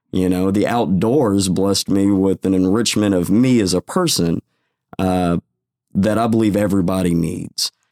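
A man with a Texan accent speaks at a moderate pace in a fairly low pitch, his dark, mellow tone carrying fairly even intonation and very even loudness, in a dry, close sound with no echo on a very clean recording with a silent background. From Texas, Waco. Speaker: fishing club founder. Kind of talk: interview.

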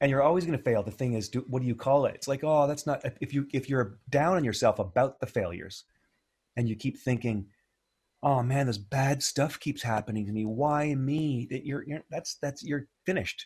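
A man with a Canadian accent and fairly high pitch sounds somewhat breathy, his pitch varying in an ordinary way. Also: moderate pace, very clean recording, silent background. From Ontario, Canada. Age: 50s. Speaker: music producer and educator. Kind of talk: casual interview.

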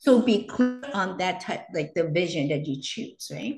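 Somewhat breathy, the voice moves at a moderate pace with very wide pitch swings. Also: woman. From Hong Kong. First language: Cantonese. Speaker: entrepreneur and educator. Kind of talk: interview.

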